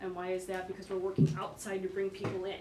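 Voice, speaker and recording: Speech comes at a very fast pace. Audible room echo and noticeable background noise fill the recording. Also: woman. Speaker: tourism marketing executive. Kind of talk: presentation at village board meeting.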